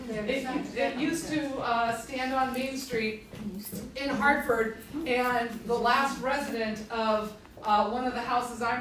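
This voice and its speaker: A loud woman's voice, high in pitch, with fairly even intonation, audible room echo and noticeable background noise. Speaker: historic site administrator. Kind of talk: public talk. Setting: library presentation to audience. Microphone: speaking without the microphone.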